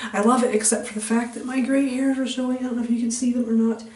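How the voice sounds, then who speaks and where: A soft-spoken woman talks in a fairly high voice with fairly even intonation. Audible room echo and noticeable background noise surround her. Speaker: beauty vlogger. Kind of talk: tutorial.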